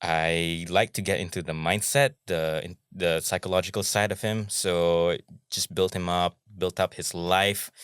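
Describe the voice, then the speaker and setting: A man talks at a fairly slow pace with a very deep, low pitch and fairly even intonation. The recording is very clean and silent in the background, with a dry, close sound and no echo. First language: Malay. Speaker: actor. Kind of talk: podcast interview. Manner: hesitant, with many fillers.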